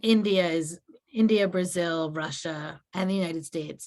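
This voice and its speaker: A woman speaks at a moderate pace in a plain, everyday voice with fairly even intonation. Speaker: minister. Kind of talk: Q&A talk.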